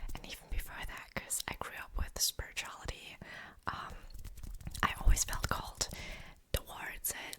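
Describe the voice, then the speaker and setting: A woman whispers at a moderate pace with noticeable background noise around her. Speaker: ASMR creator and author. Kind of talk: ASMR whispered rambling. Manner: whispered, soft.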